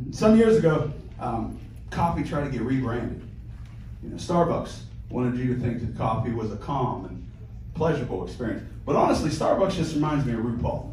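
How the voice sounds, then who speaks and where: A man with an American accent at a fairly quick pace, long, frequent pauses, audible room echo and light background noise. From Pittsburgh, US. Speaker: stand-up comedian. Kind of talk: crude, self-deprecating stand-up set of rapid one-liners and dark punchlines. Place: stage.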